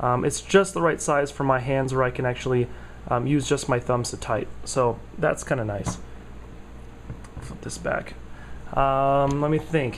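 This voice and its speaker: Fairly slow speech from a man, broken by long, frequent pauses, over noticeable background noise. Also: medium pitch for a man, ordinary pitch variation. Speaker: tech vlogger. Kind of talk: casual product review vlog. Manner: halting, many fillers.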